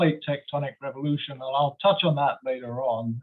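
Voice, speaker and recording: At a moderate pace, a man with a London accent speaks in a fairly high pitch with ordinary pitch variation. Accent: English, from London. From London, England. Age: 60s. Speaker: geology professor. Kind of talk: lecture. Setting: video call.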